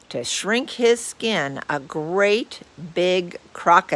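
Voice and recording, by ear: A natural voice reading aloud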